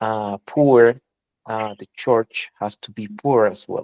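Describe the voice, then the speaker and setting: Very slowly, a man speaks with a Spanish accent. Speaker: language student. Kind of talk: casual chat.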